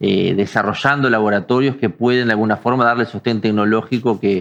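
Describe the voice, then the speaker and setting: A man's voice sits at a medium pitch. The intonation stays fairly even throughout. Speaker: physician panelist. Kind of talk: panel discussion. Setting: webinar. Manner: halting, many fillers.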